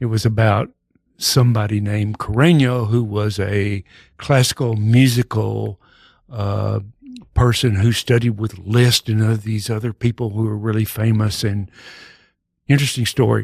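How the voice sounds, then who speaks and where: A man's fairly low-pitched, somewhat breathy voice at a moderate pace with fairly even intonation, on a very clean recording with a silent background and a dry, close sound with no echo. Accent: Texas. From Texas, Dallas. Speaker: actor and improv comedian. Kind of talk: casual chat.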